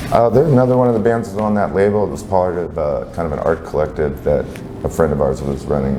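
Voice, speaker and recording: Audible room echo and noticeable background noise surround a man's voice. He talks at a fairly quick pace with very wide pitch swings. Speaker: band singer and guitarist. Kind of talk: interview. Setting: music venue.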